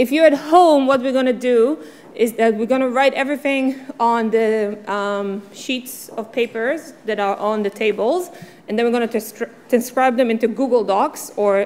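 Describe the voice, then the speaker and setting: At a moderate pace, a woman with an ordinary speaking voice talks in a fairly high pitch with ordinary pitch variation. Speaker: workshop facilitator. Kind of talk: interactive workshop. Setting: conference room with audience.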